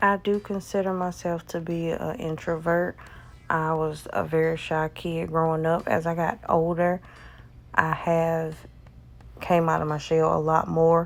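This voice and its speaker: A woman's fairly low pitch in a rural Southern US accent. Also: fairly even intonation, fairly slow pace. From US South. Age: 30s. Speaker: nail artist. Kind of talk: casual vlog chat.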